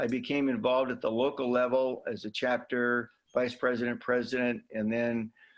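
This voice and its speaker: A man speaks at a medium pitch and a fairly quick pace. The background is quiet. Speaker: heart patient advocate. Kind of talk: interview. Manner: halting.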